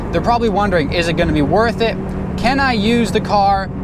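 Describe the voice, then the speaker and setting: A man talks at a fairly quick pace amid noticeable background noise, with audible room echo. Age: 30s. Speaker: YouTuber and internet entrepreneur. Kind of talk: casual vlog monologue. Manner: casual with fillers.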